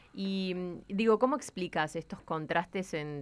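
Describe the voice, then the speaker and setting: In a Rioplatense accent, a woman speaks very slowly at a fairly low pitch with ordinary pitch variation. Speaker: radio host. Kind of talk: casual radio chat. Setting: studio.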